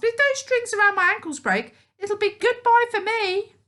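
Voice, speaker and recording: Using a put-on character voice, a woman squeaks at an extremely high pitch and keeps a moderate pace. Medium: read story. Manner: shrill, gasping.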